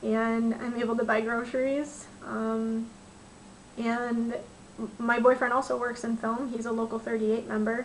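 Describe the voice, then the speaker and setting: Her intonation monotone and flat, a woman with an American accent speaks at a fairly high pitch. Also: moderate pace. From Michigan. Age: 20s. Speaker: film crew transportation dispatcher. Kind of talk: personal testimony to camera. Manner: casual, with frequent fillers.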